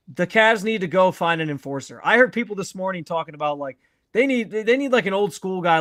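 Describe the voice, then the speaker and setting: A man talks loudly at a fairly quick pace with lively intonation. The very clean recording is dry and close, with a silent background and no echo. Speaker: sports podcast host. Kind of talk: casual chat. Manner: animated.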